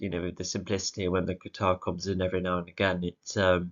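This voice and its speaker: In an English accent, a man speaks with a very deep, low voice and monotone, flat intonation. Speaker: music video reviewer. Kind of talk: casual solo commentary. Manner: halting, many fillers.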